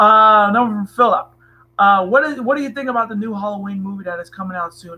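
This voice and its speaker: Raised and projected, a man's high, bright, sharp voice races along very fast with ordinary pitch variation. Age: 20s. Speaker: wrestling streamer. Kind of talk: live stream chat. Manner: casual, hesitant.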